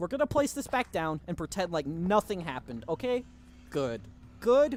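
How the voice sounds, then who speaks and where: Music plays behind a man with a high voice. His pitch swings very widely. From Germany. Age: 19 years old. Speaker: gaming streamer. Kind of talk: live gameplay stream chatting with chat. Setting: livestream. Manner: casual, conversational.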